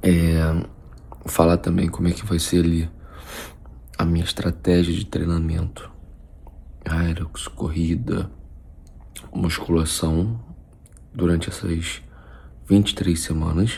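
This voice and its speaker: A man speaks quietly at a very slow pace, with long, frequent pauses. His pitch is very deep and low, with ordinary variation. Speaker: nutritionist vlogger. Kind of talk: casual vlog. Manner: quiet, speaking low.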